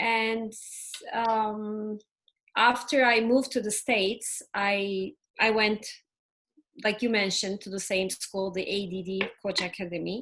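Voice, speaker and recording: A woman with a Turkish accent, fairly high-pitched and fairly even in intonation, at a fairly slow pace with long, frequent pauses. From Turkey. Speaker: ADHD and family coach. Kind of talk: interview.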